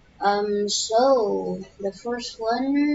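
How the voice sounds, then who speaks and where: A soft-spoken woman over noticeable background noise. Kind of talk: casual gameplay tips talk. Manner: very quiet, soft; hesitant, many fillers.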